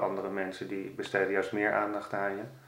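Amid audible room echo and noticeable background noise, a man with a fairly low voice talks at a fairly quick pace with monotone, flat intonation. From Netherlands, Amsterdam. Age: 40s. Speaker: carp angler and blogger. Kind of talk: interview. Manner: halting.

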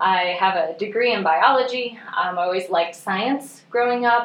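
A woman with an American accent at a fairly high pitch and moderate pace, amid noticeable background noise. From northwest Missouri. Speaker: museum education director. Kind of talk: interview.

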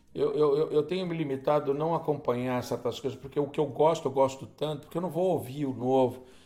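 This man talks at a fairly quick pace with hardly any pauses, his dark, mellow voice fairly high in pitch and fairly even in intonation. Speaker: podcast host and guitarist. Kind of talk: solo storytelling monologue. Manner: conversational, with hesitations.

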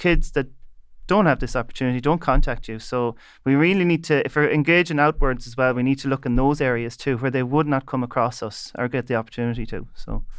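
Against a quiet background, a man with an Irish midlands accent talks at a medium pitch and a fairly quick pace. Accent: Irish (north midlands). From Ireland, County Leitrim. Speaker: bioengineering researcher. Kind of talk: panel discussion.

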